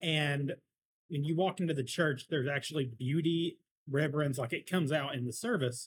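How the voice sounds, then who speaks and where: A man with an American accent talks fairly quickly in a fairly high, somewhat breathy voice with ordinary pitch variation. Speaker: podcast co-host. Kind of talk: casual chat over beers.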